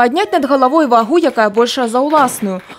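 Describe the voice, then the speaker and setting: A woman speaks at a very fast pace in a high voice. Noticeable background noise is present. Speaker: TV news reporter. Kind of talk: news report narration.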